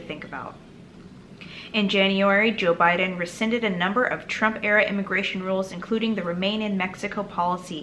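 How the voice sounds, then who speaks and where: With noticeable background noise behind her, a woman talks fairly quickly at medium pitch with fairly even intonation. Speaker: political commentary youtuber. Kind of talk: reading and commenting on news article.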